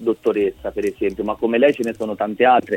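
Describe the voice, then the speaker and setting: With a plain, everyday voice, this man talks at a fairly quick pace in a medium pitch, the sound dry and close with no echo. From Umbria, Italy. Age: 30s. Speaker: photographer. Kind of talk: radio interview. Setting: phone call.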